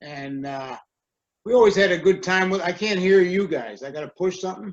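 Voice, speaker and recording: A man's high voice at a fairly quick pace, with ordinary pitch variation and big swings in loudness. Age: 70s. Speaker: family member speaking at memorial. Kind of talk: memorial reminiscence. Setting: video call.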